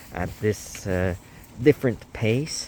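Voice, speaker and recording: There is noticeable background noise as a man with a non-native accent talks at a fairly slow pace. His pitch is medium, with ordinary variation. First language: not English. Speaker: podcast host. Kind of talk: casual monologue. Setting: outdoors. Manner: halting.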